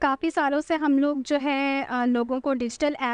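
A woman with a high pitch and a clear, smooth tone speaks at a moderate pace in fairly even intonation, the sound dry and close with no echo.

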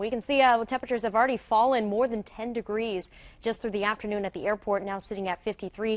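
A woman speaks in an upbeat tone at a very fast pace. The sound is dry, with no echo. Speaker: TV meteorologist. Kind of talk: local TV weather forecast, talking viewers through radar and temperature maps. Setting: TV studio. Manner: brisk, upbeat conversational delivery with occasional filler; engaging, guides viewers point by point across the map. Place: studio. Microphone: lapel.

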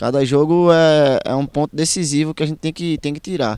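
Against a quiet background, a man with a fairly high pitch talks at a moderate pace, the sound dry with no echo. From Cabo, Pernambuco, Brazil. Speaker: footballer. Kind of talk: post-match interview. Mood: calm, slightly frustrated, determined. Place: stadium. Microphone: handheld.

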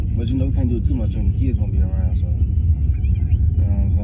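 Music plays in the background behind a man. He speaks at a moderate pace with ordinary pitch variation. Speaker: prank vlogger. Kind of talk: casual vlog chat and staged phone call. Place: car.

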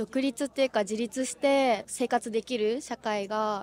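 At a fairly slow pace, a woman with a fairly high pitch and fairly even intonation speaks in an ordinary speaking voice, the sound dry with no echo. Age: 20s. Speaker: street interviewee; interviewee. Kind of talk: street interview. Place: street. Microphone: handheld.

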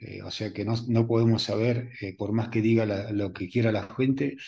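His voice is dark and mellow with vocal fry, set at a fairly low pitch for a man, and his intonation stays fairly even. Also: moderate pace.

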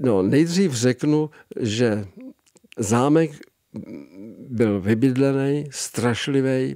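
Over a quiet background with a dry sound and no echo, a man speaks at a medium pitch and a very slow pace, with ordinary pitch variation and long, frequent pauses. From Czechia. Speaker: comic illustrator. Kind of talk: interview. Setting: studio. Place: studio. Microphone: studio mic.

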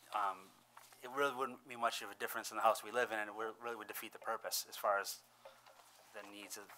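Against light background noise, a man with fairly low pitch and fairly even intonation talks at a very fast pace broken by long, frequent pauses. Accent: Western New York. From Irondequoit, New York (Rochester area). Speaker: homeowner applicant. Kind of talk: public hearing testimony. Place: meeting room. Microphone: podium.

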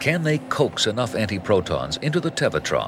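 Very wide pitch swings mark this moderately paced voice, with music in the background. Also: man. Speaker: documentary narrator. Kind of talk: 1990 TV science documentary narration, scripted and read. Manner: measured, authoritative, formal, steady pace.

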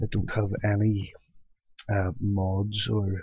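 Quiet and somewhat breathy, a man speaks in a fairly low, monotone, flat voice, the sound dry with no echo. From UK. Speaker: gaming youtuber; gamer. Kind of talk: let's play commentary; casual gameplay commentary. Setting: at home at night. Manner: casual. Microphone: cheap headset, mediocre quality; headset.

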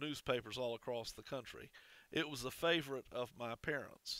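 The man's voice has ordinary pitch variation and a dry sound with no echo. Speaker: minister. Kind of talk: sermon. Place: church. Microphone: headset.

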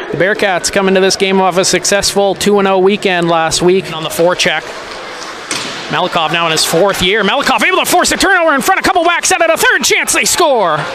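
A man's raised, projected voice, excited in tone with lively intonation at a very fast pace, dry with no echo and with noticeable background noise. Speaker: hockey play-by-play announcer. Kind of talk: live sports commentary, play-by-play call of a hockey game. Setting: arena broadcast, streamed online. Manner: rapid-fire, clipped play-by-play that swells into excited goal calls. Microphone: headset.

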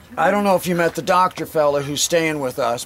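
A man talks in a normal speaking voice with a fairly high pitch. His pitch varies in an ordinary way over light background noise. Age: 60s. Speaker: rock climbing guide. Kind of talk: outdoor guided talk to a group. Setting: outdoors. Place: open country. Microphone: camera far.

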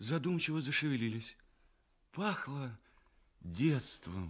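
A man speaks at a very slow pace, his pitch swinging very widely. The background is quiet. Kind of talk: radio play narration, fairy tale for children. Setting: radio broadcast, studio recording. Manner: warm, storytelling, expressive. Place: studio.

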